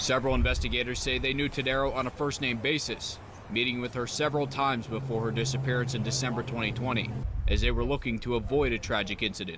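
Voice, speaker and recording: The man's pitch is medium, and his intonation is fairly even. He talks very fast over noticeable background noise. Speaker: TV news reporter. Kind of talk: TV news report.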